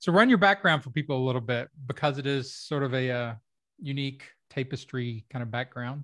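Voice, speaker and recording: A man with an American accent has an ordinary speaking voice, medium in pitch with ordinary pitch variation. He talks at a fairly quick pace over a quiet background. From Kentucky, US. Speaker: podcast host, comedy writer and rhetorician. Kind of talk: casual interview chat.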